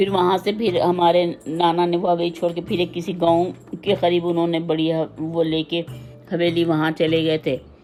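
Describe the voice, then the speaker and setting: Fairly low-pitched woman's voice, flat and monotone, over music in the background. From Hyderabad, India. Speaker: retired teacher and school principal. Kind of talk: memoir interview.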